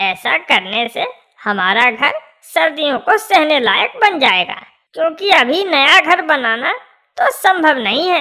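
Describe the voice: A cartoonish character voice, pitched high, moves through very wide pitch swings at a fairly slow pace.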